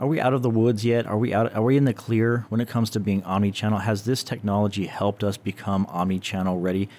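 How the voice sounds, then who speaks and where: The speech runs at a very fast pace with hardly any pauses and very even loudness. Intonation stays fairly even, and the recording is very clean with a silent background. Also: man, fairly low pitch for a man. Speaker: creative director and co-host. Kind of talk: casual chat.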